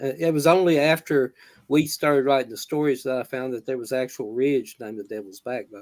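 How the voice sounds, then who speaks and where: This man has a Southern US accent and a medium pitch. He talks at a fairly quick pace with ordinary pitch variation. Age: 60s. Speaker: horror author. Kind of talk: live author interview. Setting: live video stream. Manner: halting, many fillers.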